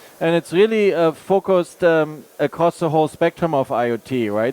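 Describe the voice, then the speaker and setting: Heard in a dry, close sound with no echo, a man speaks with a German accent. His pace is moderate. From Germany. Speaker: tech product manager, panelist. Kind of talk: panel discussion.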